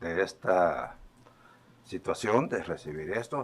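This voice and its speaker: Very slow speech from a man, very deep and low in pitch, its pitch variation ordinary. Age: 70s. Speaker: former government official. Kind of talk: testimony at a legislative hearing. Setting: legislative committee hearing.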